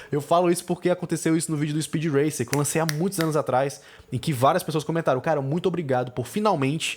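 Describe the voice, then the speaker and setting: The voice has an animated tone. It moves at a very fast pace. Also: man. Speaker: film critic podcast host. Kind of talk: podcast monologue.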